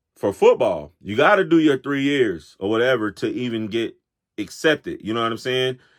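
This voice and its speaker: Speaking at a moderate pace with an American accent, a man uses lively intonation at a medium pitch. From Florida. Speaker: sports talk show host. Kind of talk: casual monologue. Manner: casual, conversational.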